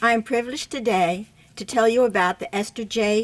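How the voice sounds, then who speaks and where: A woman with an American accent speaks in a plain, everyday voice at a moderate pace. Her pitch varies in an ordinary way. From Virginia, Richmond. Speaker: attorney and board co-president. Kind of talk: award presentation speech.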